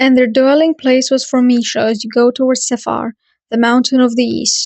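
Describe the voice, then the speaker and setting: At a moderate pace, a woman with a high pitch speaks in a non-native accent. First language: not English. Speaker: podcast host. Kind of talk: reading aloud. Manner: halting.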